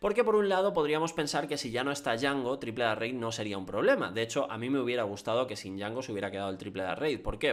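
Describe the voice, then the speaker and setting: A man speaks at a very fast pace. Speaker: card game content creator. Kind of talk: commentary video on card game meta.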